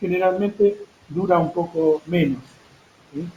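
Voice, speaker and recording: A man talks at a moderate pace in a high pitch. His tone is dark and mellow, with ordinary pitch variation. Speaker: tour operator presenter. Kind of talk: online seminar presentation. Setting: online webinar. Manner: hesitant, many fillers.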